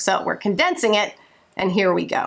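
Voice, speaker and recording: A woman speaks at a fairly quick pace. Her tone is animated. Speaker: vlogger and homeschooling mom. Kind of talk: casual vlog update. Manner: fast.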